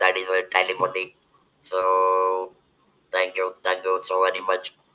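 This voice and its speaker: Very deep and low in pitch, a man speaks at a very slow pace in a bright, sharp tone. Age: 70s. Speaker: webinar moderator and cancer survivor. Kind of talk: webinar discussion. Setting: video call. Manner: halting.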